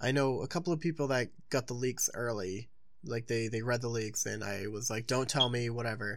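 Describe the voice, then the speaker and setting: Talking at a fairly quick pace, a man has an ordinary speaking voice with ordinary pitch variation. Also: medium pitch for a man. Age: 20s. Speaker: podcast co-host. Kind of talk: casual chat.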